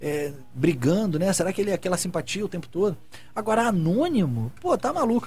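A man's high voice at a fairly quick pace, with very wide pitch swings. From Brazil, Rio de Janeiro. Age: 30s. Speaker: TV director and talk show co-host. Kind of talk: casual chat. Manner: animated.

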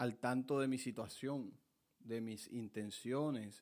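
A man of medium pitch with fairly even intonation, on a very clean recording with a silent background. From Colombian Caribbean coast (Montelíbano, Córdoba). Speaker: podcast host, lawyer and aspiring vallenato singer. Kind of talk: casual monologue.

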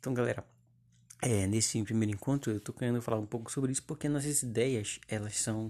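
A man with a dark, mellow tone, fairly even intonation and a fairly quick pace. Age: 20s. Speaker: podcast host. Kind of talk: casual monologue. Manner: halting.

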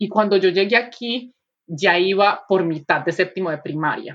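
A woman with lively intonation at a moderate pace. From Colombia, Medellín. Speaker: podcast co-host. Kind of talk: casual chat.

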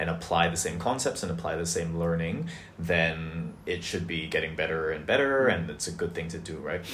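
Over noticeable background noise, a man talks at a moderate pace in a very deep, low voice with ordinary pitch variation. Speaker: podcast co-host, education nonprofit worker. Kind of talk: casual interview.

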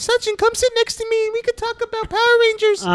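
In a put-on character voice, the squeaky speech comes very fast at an extremely high pitch, with monotone, flat intonation. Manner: playful.

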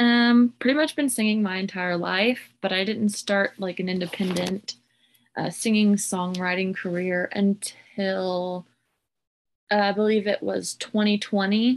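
Speaking with an American accent, a woman has an unremarkable speaking voice at medium pitch. Her pace is fairly slow, and her intonation fairly even. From Southwest Oklahoma, Hobart. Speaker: singer-songwriter. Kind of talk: interview.

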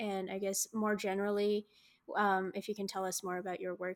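A woman's unremarkable speaking voice in an American accent, medium in pitch, at a moderate pace. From US. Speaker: podcast co-host. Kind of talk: podcast interview hosting.

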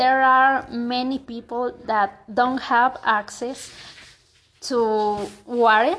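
Against a quiet background, a woman with a Mexican accent speaks in a high pitch with ordinary pitch variation. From Mexico. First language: Spanish. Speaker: university student. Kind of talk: language practice monologue. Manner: halting.

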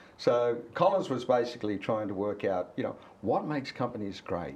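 A man in an Australian accent talks at a medium pitch and keeps a moderate pace. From Australia, Cessnock NSW. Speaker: company CEO. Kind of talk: casual interview. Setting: outdoors by a harbour.

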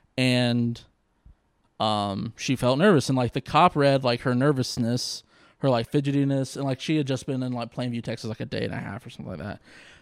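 A man with a normal speaking voice and an American accent, medium pitch and ordinary pitch variation, on a very clean recording with a silent background. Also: fairly quick pace. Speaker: comedian and law student. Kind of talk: casual chat.

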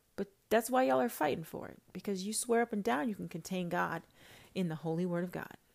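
Animated and very fast, a woman talks at a medium pitch. Her intonation is lively, and her loudness swings widely. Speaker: self-styled prophetess podcaster. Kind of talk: religious rant monologue.

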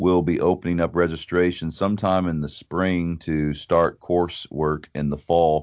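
A man speaks at a fairly slow pace in a very deep, low voice. His intonation stays monotone and flat. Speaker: pastor and ministry vice president.

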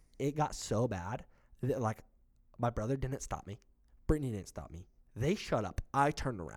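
A man with a medium pitch and vocal fry talks at a moderate pace with lively intonation, big swings in loudness and long, frequent pauses. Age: 20s. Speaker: podcast co-host. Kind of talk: casual chat.

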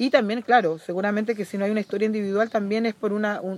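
A woman speaks at a medium pitch. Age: 40s. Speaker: environmental and social activist. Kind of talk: casual chat.

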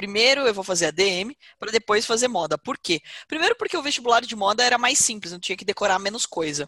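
In a dry, close recording with no echo, a woman with a fairly high voice talks at a very fast pace with lively intonation. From Brazil, Porto Feliz (São Paulo state). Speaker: business executive and investment educator. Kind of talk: interview.

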